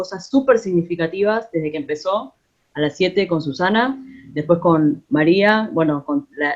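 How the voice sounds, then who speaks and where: Her pace moderate, a woman speaks at a medium pitch. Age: 40s. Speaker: musician and theatre collaborator. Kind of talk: casual remarks in an online talk. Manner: halting.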